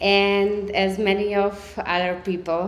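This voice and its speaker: There is audible room echo as a woman speaks with a Slovak accent. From Serbia, Slovak-speaking minority. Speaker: storyteller. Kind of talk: storytelling. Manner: halting, many fillers.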